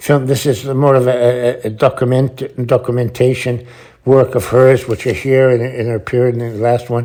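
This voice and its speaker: A man's medium-pitched voice has a dark, mellow tone and monotone, flat intonation. He keeps a moderate pace. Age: 70s. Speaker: sculptor. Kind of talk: ad-libbed video voice-over. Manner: halting, many repetitions and restarts.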